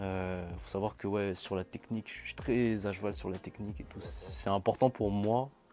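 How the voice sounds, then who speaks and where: Dark and mellow, a man's tone comes through. He speaks fairly slowly. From Madagascar. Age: young. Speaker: R&B singer. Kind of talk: interview. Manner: casual.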